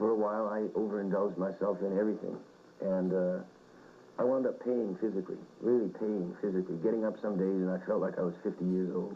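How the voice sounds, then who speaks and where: A man's fairly low voice at a very fast pace. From Winnipeg, Canada. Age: 30s. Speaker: rock singer. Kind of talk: interview answer. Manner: casual, reflective.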